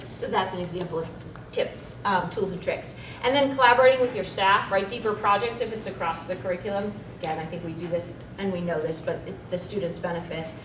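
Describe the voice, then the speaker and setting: A woman talking at a very fast pace, with audible room echo and noticeable background noise. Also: medium pitch for a woman, ordinary pitch variation. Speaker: school librarian presenter. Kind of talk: conference presentation.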